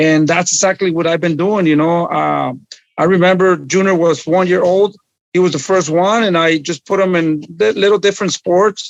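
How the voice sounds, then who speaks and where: High-pitched male voice at a moderate pace, with fairly even intonation and very even loudness. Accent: Spanish. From Mexico, Guerrero. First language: Spanish. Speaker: boxing trainer. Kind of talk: podcast interview. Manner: halting.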